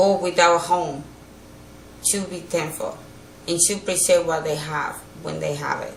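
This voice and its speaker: A woman with a fairly low pitch speaks in a monotone, flat intonation with big swings in loudness and long, frequent pauses, with audible room echo and noticeable background noise. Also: moderate pace. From Dominican Republic. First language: Spanish. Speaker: hurricane survivor. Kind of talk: interview. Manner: halting.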